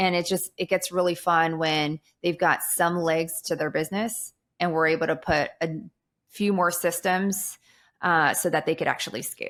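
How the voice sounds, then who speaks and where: The recording is very clean, with a silent background. A woman with a fairly low pitch speaks at a moderate pace, her intonation fairly even. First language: Tagalog / Kapampangan. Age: 40s. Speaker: real estate business coach. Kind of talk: podcast interview.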